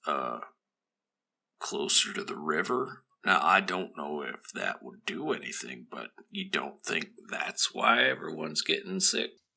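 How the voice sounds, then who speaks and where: Using a put-on character voice, a man speaks raspily at a moderate pace with big swings in loudness. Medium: actual play. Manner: hesitant, rambling.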